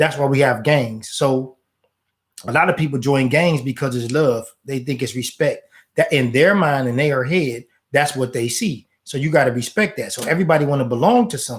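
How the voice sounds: A man speaks at a medium pitch. His pace is moderate. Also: ordinary pitch variation.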